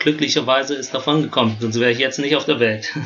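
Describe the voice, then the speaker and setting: Noticeable background noise is present. The delivery is monotone and flat. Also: man. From Germany. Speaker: footwear engineer. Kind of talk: casual chat. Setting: remote call.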